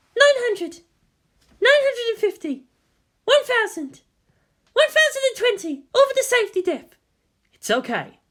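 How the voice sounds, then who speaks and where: The voice is a squeaky, put-on character voice at an extremely high pitch. It moves at a moderate pace with long, frequent pauses. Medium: read story. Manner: reporting numbers, anxious.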